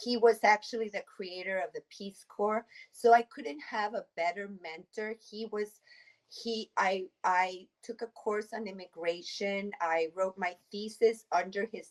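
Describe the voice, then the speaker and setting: With a Spanish accent, a woman at a medium pitch speaks at a fairly slow pace with fairly even intonation and big swings in loudness, the sound dry and close with no echo. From Mexico City. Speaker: immigration attorney. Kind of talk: interview.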